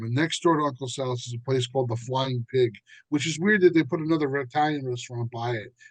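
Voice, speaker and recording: A man talks in a New Jersey accent. His pitch is medium, with ordinary variation. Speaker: musician and author. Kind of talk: casual chat. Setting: podcast.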